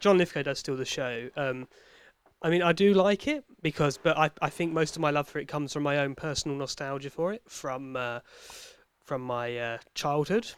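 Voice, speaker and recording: A man's fairly high voice at a moderate pace with ordinary pitch variation, in a very clean, dry, close recording with no echo and a silent background. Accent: British. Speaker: podcast host. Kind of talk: casual banter, comedy chat.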